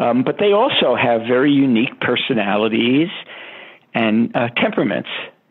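A man with an American accent speaks at a medium pitch and a moderate pace. His loudness stays very even, with noticeable background noise. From Brooklyn, New York. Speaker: animal behavior scientist. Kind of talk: interview.

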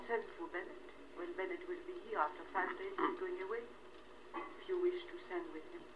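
A woman at an extremely high pitch, fairly quick pace with long, frequent pauses, ordinary pitch variation, noticeable background noise. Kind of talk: casual conversation. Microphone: old recording.

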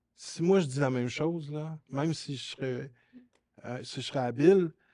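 The man's voice sits fairly high for a male, and its pitch moves in a normal way. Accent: Quebec. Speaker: talk show host. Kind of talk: casual chat. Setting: studio. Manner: halting.

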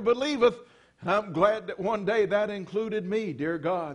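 Against a quiet background, a man with a high pitch speaks at a moderate pace with ordinary pitch variation. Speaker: preacher. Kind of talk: sermon prayer. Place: church. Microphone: podium.

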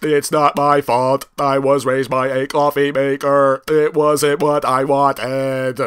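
Speaking at a fairly slow pace, a man uses a fairly high pitch and monotone, flat intonation. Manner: flat, deadpan.

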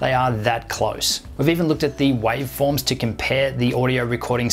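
Faint background noise sits behind a man speaking at a moderate pace.

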